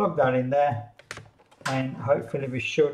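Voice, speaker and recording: Light background noise sits behind a man speaking at a moderate pace. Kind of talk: tutorial. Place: office. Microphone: camera far.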